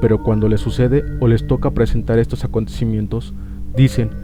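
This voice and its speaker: A man's voice over music in the background. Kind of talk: horror legend narration.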